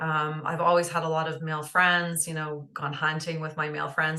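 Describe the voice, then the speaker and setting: A woman with a Canadian accent speaks in a very deep, low voice with a bright, sharp tone, monotone intonation and a moderate pace, with audible room echo. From northern Ontario, Canada. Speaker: holistic nutritionist. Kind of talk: interview conversation. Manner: hesitant with many fillers.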